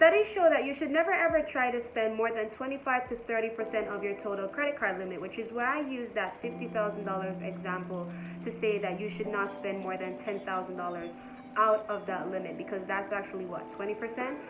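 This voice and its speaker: With lively intonation and a medium pitch, a woman speaks at a fairly quick pace in an unremarkable speaking voice. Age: 20s. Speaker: entrepreneur, finance content creator. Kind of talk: casual talk to camera. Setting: phone microphone, poor audio.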